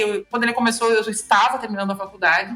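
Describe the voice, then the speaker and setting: In a southern Brazilian accent, a woman speaks at a very fast pace and a fairly high pitch with fairly even intonation over noticeable background noise. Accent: southern Brazilian (gaúcho). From interior of Rio Grande do Sul, southern Brazil. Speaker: lawyer. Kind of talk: podcast interview.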